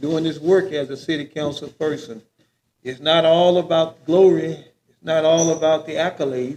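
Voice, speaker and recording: A man speaks at a moderate pace in a fairly high pitch. His is a normal speaking voice. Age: 60s. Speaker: city council candidate. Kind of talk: candidate forum answers.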